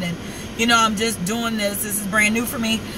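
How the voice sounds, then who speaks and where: The delivery is monotone and flat, with noticeable background noise and audible room echo. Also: woman. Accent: American. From New York. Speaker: vlogger. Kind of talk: casual vlog monologue. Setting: in a car.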